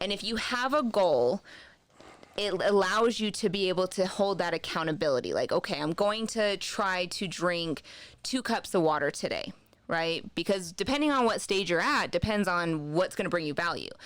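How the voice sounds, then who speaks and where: A woman with a slight Southern US accent speaks with lively intonation. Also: medium pitch for a woman, moderate pace. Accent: slight Southern accent, stronger when relaxed. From US East and South, military family. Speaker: wellness journal creator. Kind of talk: podcast interview.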